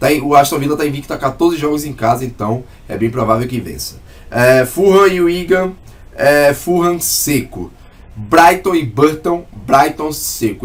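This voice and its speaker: An ordinary speaking voice moves at a middling speed, its pitch varying in a normal way. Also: man. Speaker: sports betting tipster. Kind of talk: sports betting analysis monologue. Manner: casual.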